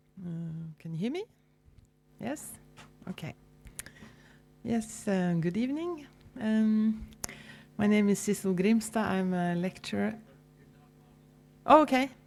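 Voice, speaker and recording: A woman with a Norwegian accent and a fairly high pitch speaks at a fairly slow pace with lively intonation, big swings in loudness, and long, frequent pauses, while music plays in the background. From Norway. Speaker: university lecturer. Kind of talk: panel presentation. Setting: public forum with audience.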